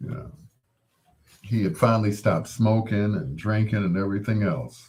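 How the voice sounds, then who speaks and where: Fairly slow and somewhat breathy, a man speaks at a fairly low pitch. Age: 60s. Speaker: radio host. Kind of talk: late-night radio show with live chat. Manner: casual, conversational.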